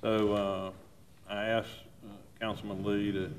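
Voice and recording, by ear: A man's low-pitched voice at a fairly slow pace, with little pitch movement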